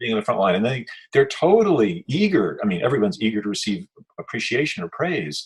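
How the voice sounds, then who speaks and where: Very fast and full of very wide pitch swings, a man with an American accent speaks in a medium pitch with vocal fry. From New York. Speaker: activist interviewer. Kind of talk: casual chat. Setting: video call.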